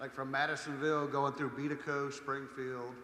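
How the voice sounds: With a bright, sharp tone and little pitch movement, the voice rings out in strong room echo. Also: man.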